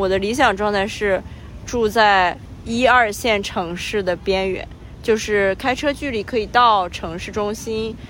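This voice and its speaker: Her voice is an unremarkable speaking voice at a fairly high pitch, with ordinary pitch variation. This woman talks at a fairly slow pace. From Qingdao, Shandong, China. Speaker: podcast co-host, remote worker. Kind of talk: casual chat. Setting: outdoors, recorded while walking.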